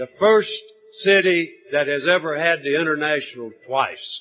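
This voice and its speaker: A man with a Southern US accent speaks at a fairly slow pace with ordinary pitch variation over noticeable background noise. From North Carolina. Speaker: AA speaker. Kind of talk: recovery testimony talk. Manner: halting, repeats words.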